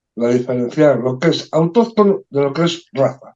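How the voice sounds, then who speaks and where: Speaking at a moderate pace, a man has a fairly high voice with a dark, mellow tone. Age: 60s. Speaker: poultry federation president. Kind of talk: podcast discussion.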